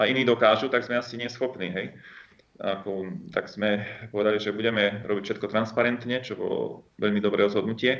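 At a fairly quick pace, a man with a medium pitch speaks in a flat, monotone way. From northern Slovakia. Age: 50s. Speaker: company founder and entrepreneur. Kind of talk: interview. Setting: phone or remote call.

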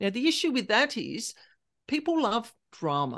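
With an Australian accent, a woman talks over a quiet background. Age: 50s. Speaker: paranormal specialist. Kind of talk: interview.

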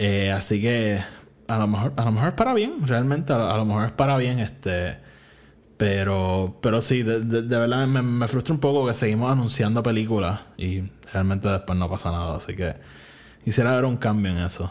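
A man speaks at a moderate pace. His voice sits at a medium pitch with ordinary variation. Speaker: podcast host. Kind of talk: casual solo commentary.

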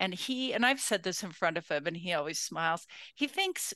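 Speaking in a plain, everyday voice, a woman with an American accent uses lively intonation at a medium pitch. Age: 60s. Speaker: podcast host, women's leadership scholar. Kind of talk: interview about own life.

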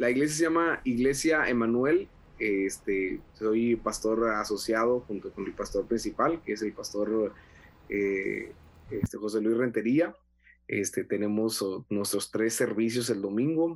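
A man with an unremarkable speaking voice, medium in pitch, at a fairly slow pace with ordinary pitch variation. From Mexico, Monterrey (Nuevo León). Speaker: pastor and evangelist. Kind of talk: casual interview.

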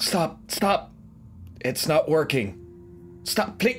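Someone uses a put-on character voice. Clear music plays in the background. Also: man. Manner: prim, condescending, easily annoyed.

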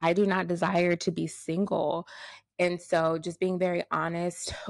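In a quiet setting, a woman with a plain, everyday voice and medium pitch talks at a fairly slow pace. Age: 20s. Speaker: podcast host. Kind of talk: solo faith-based talk. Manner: casual and conversational.

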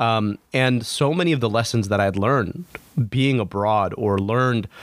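A man with an American accent and a medium pitch talks at a fairly slow pace with ordinary pitch variation. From US Midwest, Michigan (Oakland County). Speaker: physician and former politician. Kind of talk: interview conversation. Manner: halting, many fillers.

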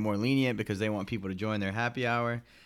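An ordinary speaking voice from a man with fairly low pitch and fairly even intonation, in a very clean recording with a silent background. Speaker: podcast host. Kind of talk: casual banter, news podcast. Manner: joking, playful.

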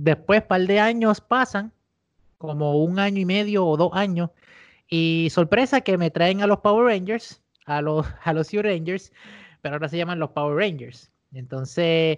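Against a quiet background, the speaker talks at a fairly slow pace. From Puerto Rico, Mayagüez area. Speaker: podcast co-host. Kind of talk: casual chat.

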